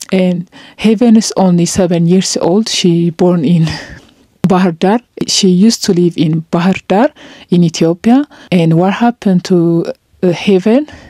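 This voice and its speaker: A woman with a non-native accent, medium pitch, a fairly slow pace, very even loudness and ordinary pitch variation, in dry sound with no echo. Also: quiet background. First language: not English. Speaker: vlogger. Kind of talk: emotional vlog monologue. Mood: serious, sad. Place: home room. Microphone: handheld.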